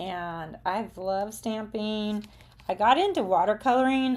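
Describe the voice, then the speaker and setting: The recording is very clean, its background silent. A woman talks in a Southern US accent. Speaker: craft and art demonstrator. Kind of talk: live craft tutorial with chat. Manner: casual, chatty.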